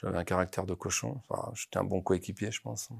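Vocal fry runs through the voice. The pitch moves in very wide swings. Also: man, quiet background. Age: 50s. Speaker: football coach. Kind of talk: interview. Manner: halting, many repetitions. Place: studio. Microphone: lapel.

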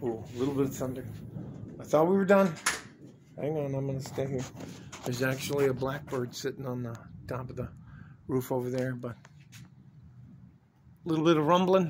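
With noticeable background noise behind him, a man speaks with long, frequent pauses. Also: ordinary pitch variation, moderate pace. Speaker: vlogger. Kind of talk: casual vlog chat. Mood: playful, joking. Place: street. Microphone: phone near.

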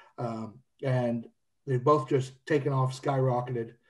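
Somewhat breathy and dark, mellow in tone, a man speaks with fairly even intonation against a quiet background. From Kentucky, Louisville. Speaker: whiskey brand representative; guest. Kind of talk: casual podcast chat. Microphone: earbuds.

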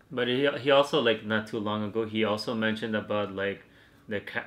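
Fairly quick in pace, a man talks in an unremarkable speaking voice. His pitch is fairly low and his intonation fairly even. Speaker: reaction video host. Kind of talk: casual podcast reaction talk. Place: home room.

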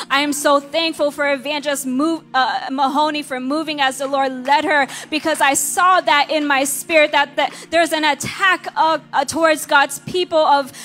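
The speech moves at a moderate pace with hardly any pauses. Intonation stays fairly even, and there is light background noise. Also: woman, high pitch for a woman. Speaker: minister preaching. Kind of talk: sermon. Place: church. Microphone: handheld.

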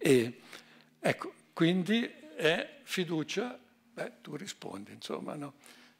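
A man's high-pitched voice at a very slow pace, with very wide pitch swings and big swings in loudness. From Ticino, Switzerland (Chiasso); Ticino, Switzerland. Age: 80s+. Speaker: economist and honoree; speaker. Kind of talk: speech. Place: hall. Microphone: podium.

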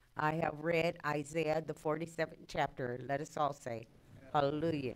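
Her voice is very deep and low for a woman. She talks fairly slowly. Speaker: scripture reader. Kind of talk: reading aloud scripture.

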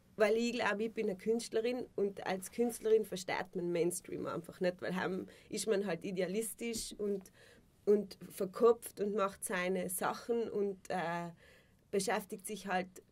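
Fairly even intonation carries this woman's speech. She goes at a fairly slow pace. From South Tyrol. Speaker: actress and musician. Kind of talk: casual interview. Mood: relaxed, reflective. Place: studio.

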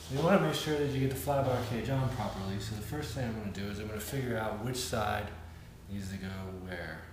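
A man talks very fast in a fairly low voice with ordinary pitch variation. Noticeable background noise and audible room echo surround him. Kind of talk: tutorial. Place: home room.

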